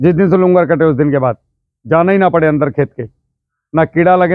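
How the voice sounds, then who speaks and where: The pace is moderate. Pitch variation is ordinary. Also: man. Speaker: farming trainer, ex-army farmer. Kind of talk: village farmer workshop talk. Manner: loud.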